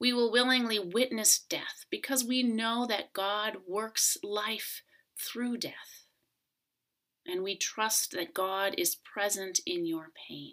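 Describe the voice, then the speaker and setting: Bright and sharp in tone, a woman with a fairly high pitch speaks at a very slow pace with ordinary pitch variation. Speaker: pastor. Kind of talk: sermon.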